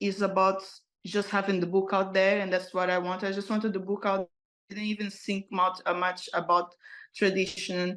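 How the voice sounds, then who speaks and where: With a non-native accent, a woman speaks at a moderate pace and medium pitch in a monotone, flat intonation against a quiet background. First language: not English. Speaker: author and motivational speaker. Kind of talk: interview. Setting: podcast interview. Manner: halting, frequent repetitions.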